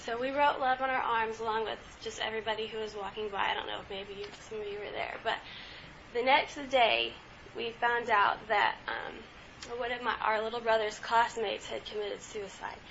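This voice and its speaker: The voice is monotone and flat, at a moderate pace. Loudness swings widely, and there is noticeable background noise. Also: woman, fairly high pitch for a woman. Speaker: student presenter. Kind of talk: student presentation.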